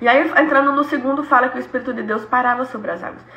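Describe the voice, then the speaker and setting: A woman's high, animated voice at a fairly quick pace, with audible room echo and noticeable background noise. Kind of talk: Bible study teaching.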